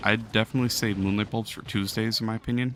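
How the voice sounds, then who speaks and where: Very fast male speech, its intonation fairly even. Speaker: game streamer. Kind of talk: casual chat. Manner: casual, hesitant with fillers.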